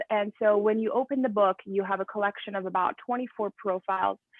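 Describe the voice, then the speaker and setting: Talking at a fairly quick pace, a woman keeps a medium pitch and fairly even intonation. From Iran. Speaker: journalist and author. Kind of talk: interview. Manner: hesitant, many fillers and repeats.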